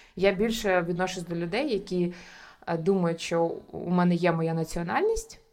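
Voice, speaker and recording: Noticeable noise runs in the background. The speaker's intonation is fairly even. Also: woman, fairly low pitch for a woman, moderate pace. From Ukraine, Kyiv. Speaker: entrepreneur. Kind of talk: interview conversation. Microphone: sound quality varies due to technical issues.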